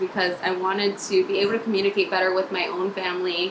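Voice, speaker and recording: A woman with an American accent at a moderate pace, with noticeable background noise. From Maryland, US. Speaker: nurse. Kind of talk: video application pitch. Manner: casual, upbeat.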